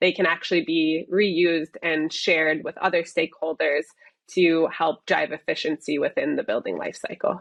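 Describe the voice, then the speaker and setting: A woman with an American accent talks at a moderate pace. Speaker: software company executive. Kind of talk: interview.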